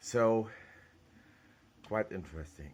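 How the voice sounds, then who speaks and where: A man with a German accent at a fairly slow pace. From Germany. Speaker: 3D printing hobbyist YouTuber. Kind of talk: tutorial. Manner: halting.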